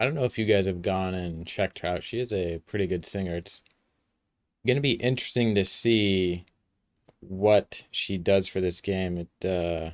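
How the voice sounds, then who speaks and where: On a very clean recording with a silent background and a dry, close sound with no echo, a man with a very deep, low pitch talks at a moderate pace. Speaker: gaming youtuber. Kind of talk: reaction commentary. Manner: monotone.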